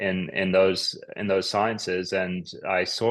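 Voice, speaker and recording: A man's fairly low, flat, monotone voice with an Australian accent, fairly slow, over a quiet background. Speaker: psychiatrist. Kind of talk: interview.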